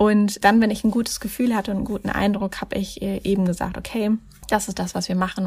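A woman with a medium pitch and vocal fry talks at a very fast pace in a monotone, flat intonation. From Germany, Mannheim. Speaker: life coach and charity founder. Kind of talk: interview.

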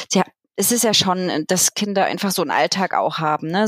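A woman speaks in a plain, everyday voice at medium pitch, with ordinary pitch variation. Her pace is moderate, and the sound is dry and close with no echo. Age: 40s. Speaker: childminder and social pedagogue. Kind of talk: casual interview.

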